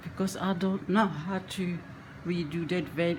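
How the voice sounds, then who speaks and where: Her voice is somewhat breathy. This woman speaks with a fairly low pitch. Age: 70s. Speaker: reborn doll painting hobbyist. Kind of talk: tutorial. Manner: halting.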